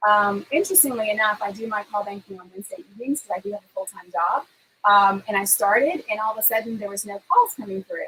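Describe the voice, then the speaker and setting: With an American accent and a bright, sharp tone, a woman talks at a very fast pace and fairly high pitch, with ordinary pitch variation and big swings in loudness. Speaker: political talk show co-host and campaign volunteer. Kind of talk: casual chat. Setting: home livestream.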